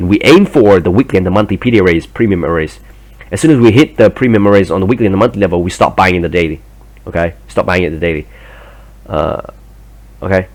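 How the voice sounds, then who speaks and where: A man speaks very fast at a very deep, low pitch, with a non-native accent and ordinary pitch variation. Long pauses come often. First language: not English. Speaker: trading educator. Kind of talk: tutorial. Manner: halting; hesitant, many fillers.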